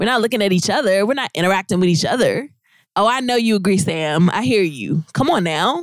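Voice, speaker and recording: At a fairly quick pace, a woman with a medium pitch and a plain, everyday voice uses lively intonation while keeping her loudness very even. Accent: American. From Virginia Beach, Virginia. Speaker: host's wife, guest. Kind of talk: casual chat. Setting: Facebook and Instagram livestream at home.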